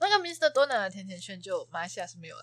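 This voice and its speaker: Speaking very fast, a woman swings her pitch very widely. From Malaysia. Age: 20s. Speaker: guest, Malaysian student in Taiwan. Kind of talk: casual chat.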